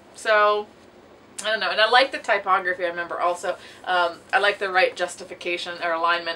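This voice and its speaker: Very fast speech from a woman, pitch varying in an ordinary way. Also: medium pitch for a woman. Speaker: booktuber. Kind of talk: casual video monologue.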